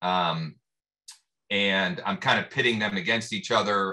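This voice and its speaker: Over a quiet background, a man speaks at a fairly low pitch with ordinary pitch variation and a bright, sharp tone. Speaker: real estate agent; mastermind group host. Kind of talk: casual group discussion. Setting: video call. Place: office. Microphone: video call.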